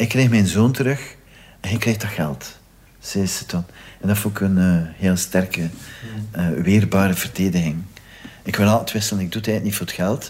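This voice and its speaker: A man talks at a moderate pace and fairly low pitch with ordinary pitch variation, leaving long, frequent pauses. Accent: Flemish. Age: 50s. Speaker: victim's brother. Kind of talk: testimony.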